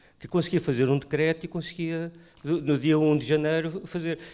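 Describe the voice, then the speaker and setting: Recorded very cleanly against a silent background, a man with a European Portuguese accent talks at a fairly high pitch. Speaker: primary care doctor. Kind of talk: panel discussion. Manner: halting.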